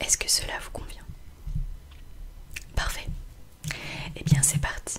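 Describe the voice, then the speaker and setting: A woman whispers in a gentle tone at a fairly slow pace over noticeable background noise. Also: big swings in loudness. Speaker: ASMR artist doing optician roleplay. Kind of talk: ASMR roleplay, eye exam. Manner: soft, gentle, caring.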